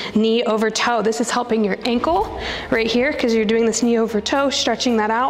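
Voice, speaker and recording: Over light background noise, a woman talks at a very fast pace with monotone, flat intonation and very even loudness. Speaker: fitness trainer. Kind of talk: tutorial. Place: gym. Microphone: lapel.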